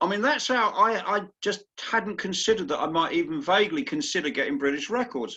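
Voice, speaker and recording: With an English accent, a man projects a raised, high-pitched voice at a fairly quick pace, bright and sharp in tone, his pitch swinging very widely. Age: 60s. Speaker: masters indoor rower. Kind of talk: interview. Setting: video call.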